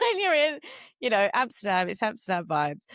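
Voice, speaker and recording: In a Cockney accent, a woman talks at a fairly quick pace. The sound is dry and close, with no echo. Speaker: podcast host and yoga teacher. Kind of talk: casual podcast conversation.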